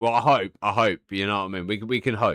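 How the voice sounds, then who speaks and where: At a fairly quick pace, a man with a British accent and a fairly low pitch speaks with fairly even intonation in a dry, close sound with no echo. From UK. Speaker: gaming streamer. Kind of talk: live stream chat. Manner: casual, repeats words.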